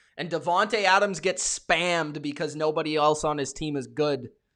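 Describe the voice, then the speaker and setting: Shouting in an animated tone, a man with a fairly high pitch speaks at a moderate pace with ordinary pitch variation, on a very clean recording with a silent background. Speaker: NFL live stream host. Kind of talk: live reaction stream, reading chat. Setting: live stream. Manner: loud, yelling.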